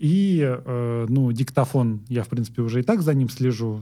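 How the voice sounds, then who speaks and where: Dark, mellow tone from a man at medium pitch with ordinary pitch variation. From Moscow region, Russia. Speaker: music journalist and podcast host. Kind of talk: podcast presenting; casual chat.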